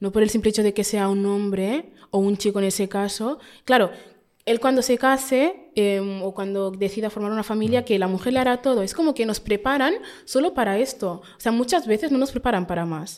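In a very clean recording with a silent background, a woman uses an ordinary speaking voice at a fairly high pitch. She moves at a fairly quick pace with ordinary pitch variation. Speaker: podcaster. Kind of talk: interview.

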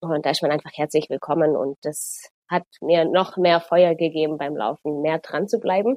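An ordinary speaking voice from a woman, fairly low in pitch, fairly even in intonation, at a fairly quick pace. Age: 20s. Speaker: runner and transport planner. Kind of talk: casual interview chat.

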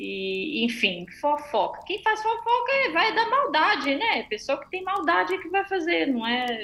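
A woman projects a raised, high-pitched voice at a fairly slow pace with hardly any pauses, very wide pitch swings and big swings in loudness. Noticeable background noise is present. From Brazil. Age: 30s. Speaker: amateur triathlete. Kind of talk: casual interview.

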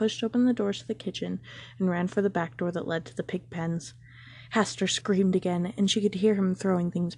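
The text is read aloud plainly, the intonation fairly even.

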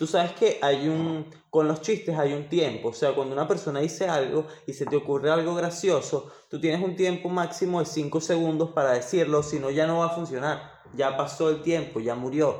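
A plain, everyday voice, a man's at a fairly high pitch, fairly even in intonation, moderate in pace. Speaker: podcast co-host. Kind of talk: casual chat.

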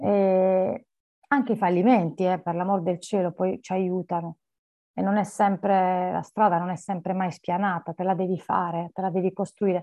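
A woman speaks at a moderate pace in a plain, everyday voice, her medium pitch carried by fairly even intonation. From Apulia, southern Italy (Barletta). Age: 40s. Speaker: lawyer and coach. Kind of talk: interview conversation.

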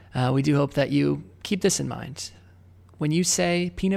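On a very clean recording with a silent background, a man with a normal speaking voice talks at a moderate pace in an American accent. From Illinois, US Midwest. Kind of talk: casual chat.

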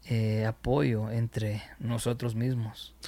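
This man talks at a very slow pace. The recording is very clean, with a silent background. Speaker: music producer. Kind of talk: casual interview. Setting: home studio. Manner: halting, many fillers.

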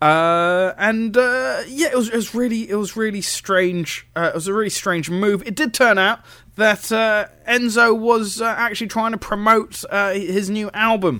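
A man with a British accent, high-pitched, in a raised, projected voice with a bright, sharp tone, at a fairly slow pace with ordinary pitch variation. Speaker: wrestling radio host. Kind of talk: radio show commentary. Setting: radio studio broadcast. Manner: casual, hesitant, filler-heavy.

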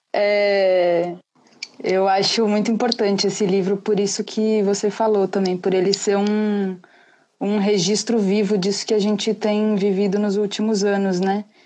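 A woman's dark, mellow, medium-pitched voice, fairly slow, monotone and flat, with very even loudness. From Brazil, São Paulo. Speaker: poet. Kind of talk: casual chat. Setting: live video call.

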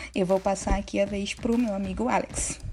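There is noticeable background noise behind this woman's voice. She speaks at a medium pitch with ordinary pitch variation. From Bahia, Brazil. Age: 20s. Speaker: podcast co-host. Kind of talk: casual chat.

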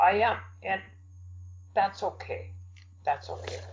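A man speaks with an American accent. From US Midwest. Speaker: poet. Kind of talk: interview.

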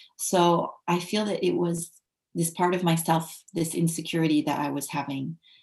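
A woman with an American accent speaks in a fairly low pitch, her voice somewhat breathy. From United States. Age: young. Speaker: english teacher and ethical leadership consultant. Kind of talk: interview. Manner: halting.

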